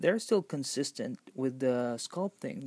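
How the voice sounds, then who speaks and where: With a non-native accent, a man speaks fairly slowly at a medium pitch. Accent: noticeable non-native English. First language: not English. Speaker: toy collector reviewer. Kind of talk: product review. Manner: halting, many fillers.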